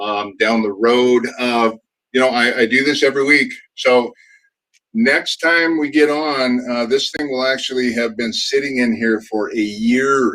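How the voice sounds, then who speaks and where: Speaking at a fairly slow pace, a man with an American accent has a medium pitch. His tone is bright and sharp. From California. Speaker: product demo show host. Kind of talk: casual chat. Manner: hesitant, many fillers.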